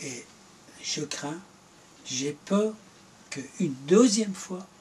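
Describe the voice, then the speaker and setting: Lively intonation carries very slow speech over noticeable background noise. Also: man, high pitch for a man. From Iran. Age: 70s. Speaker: former government minister. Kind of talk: political interview.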